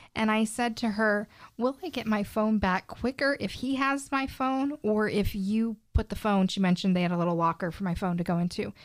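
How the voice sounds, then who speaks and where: An ordinary speaking voice from a woman, fairly high in pitch with ordinary pitch variation and hardly any pauses, on a very clean recording with a silent background. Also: fairly quick pace. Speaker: real estate agent. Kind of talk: casual chat.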